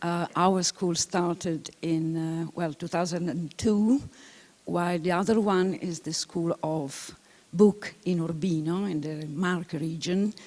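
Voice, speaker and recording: A woman with an Italian accent speaks at a very slow pace. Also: fairly low pitch for a woman, fairly even intonation. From Italy. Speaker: film historian, lecturer. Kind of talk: lecture. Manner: halting, many fillers.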